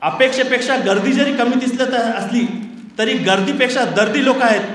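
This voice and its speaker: Noticeable background noise mixes with audible room echo throughout. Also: man. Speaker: journalist and journalism professor. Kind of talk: conference speech.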